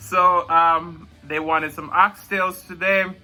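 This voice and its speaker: A man's high-pitched voice, bright and sharp in tone, with a Jamaican accent. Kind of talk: mukbang eating show, casual talk to camera.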